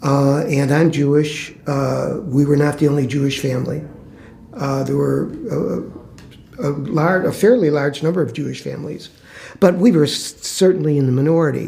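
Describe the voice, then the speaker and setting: With an American accent, a man speaks at a moderate pace in a fairly high pitch. His pitch varies in an ordinary way, and audible room echo surrounds him. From Chicago, US Midwest. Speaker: former public housing resident, interviewee. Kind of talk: oral history interview. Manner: halting, many fillers.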